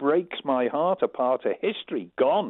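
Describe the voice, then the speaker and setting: A man with a Manx accent. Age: 70s. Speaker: caller. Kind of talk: phone-in call.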